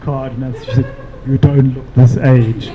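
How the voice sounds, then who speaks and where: A man's fairly high voice comes through with audible room echo. Noticeable background noise is present too. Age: 60s. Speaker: panel speaker. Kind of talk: panel discussion. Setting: live-streamed event.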